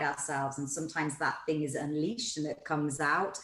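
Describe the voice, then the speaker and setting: Against noticeable background noise, a woman with a very deep, low pitch speaks at a fairly quick pace. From northern England, Newcastle. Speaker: entrepreneur and podcast host, interview guest. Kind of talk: interview, personal life story.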